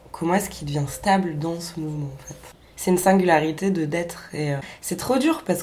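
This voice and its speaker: A woman talks at a fairly quick pace in a fairly low voice with ordinary pitch variation. Noticeable background noise and audible room echo are present. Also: big swings in loudness. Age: 20s. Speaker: performance artist and radio maker. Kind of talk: casual interview. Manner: halting.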